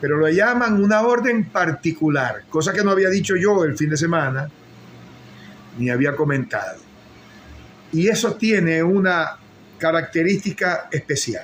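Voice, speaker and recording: Pausing long and often at a fairly slow pace, a man with a high voice uses lively intonation while keeping his loudness very even. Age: 60s. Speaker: political commentator. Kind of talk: live-stream political commentary.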